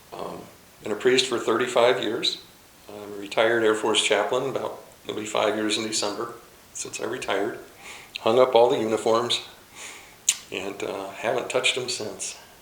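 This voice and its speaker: A man with an American accent talks at a medium pitch in monotone, flat intonation, with long, frequent pauses and big swings in loudness. Audible room echo and noticeable background noise come through on the recording. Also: moderate pace. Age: 60s. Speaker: chaplain. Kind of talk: casual talk.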